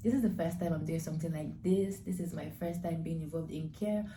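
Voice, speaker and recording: A woman with a Nigerian accent, fairly low in pitch, dark and mellow with vocal fry, ordinary pitch variation, a moderate pace and audible room echo. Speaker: nursing student vlogger. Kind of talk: vlog intro to camera.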